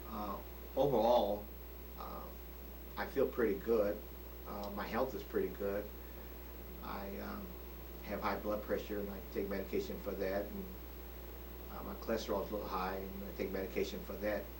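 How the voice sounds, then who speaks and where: A man with a very deep, low pitch speaks at a moderate pace, his pitch swinging very widely. He leaves long, frequent pauses, and the room echo is audible. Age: 60s. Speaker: retiree recording a birthday video. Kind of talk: personal video diary monologue. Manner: hesitant, many fillers.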